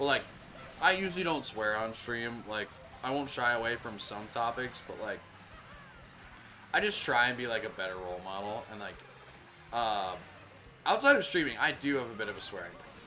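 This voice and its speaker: A man with an American accent speaks at a fairly quick pace in a medium pitch, with lively intonation and long, frequent pauses. His loudness swings widely, and the room echo is audible. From Minnesota. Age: 20s. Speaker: video game streamer. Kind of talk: casual live-stream chat. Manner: casual, many fillers.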